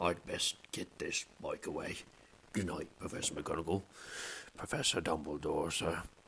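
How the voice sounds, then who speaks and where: A man puts on a character voice, very deep and raspy, with clear background noise behind him. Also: moderate pace. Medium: read story. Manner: humble, deferential.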